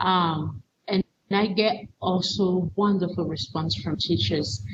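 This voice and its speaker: Speaking very slowly with a non-native accent, a woman uses lively intonation and some vocal fry. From Cameroon. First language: not English. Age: 40s. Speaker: teacher educator and missionary. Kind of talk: interview testimony. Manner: halting, repeats words.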